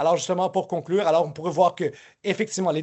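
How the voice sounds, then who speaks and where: A man is speaking. His pitch is high, with ordinary variation. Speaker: professor. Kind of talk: lecture. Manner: fast; halting.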